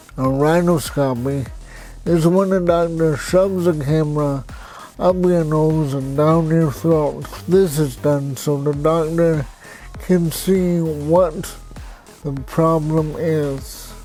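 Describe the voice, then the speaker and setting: Music sounds in the background as a man talks very slowly in a fairly high pitch with fairly even intonation. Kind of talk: personal story vlog.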